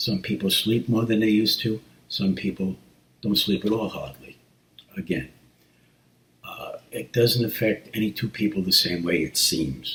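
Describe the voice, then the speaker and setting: Pausing long and often, a man talks at a moderate pace, his fairly low voice carrying vocal fry and lively intonation. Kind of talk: casual talk to camera.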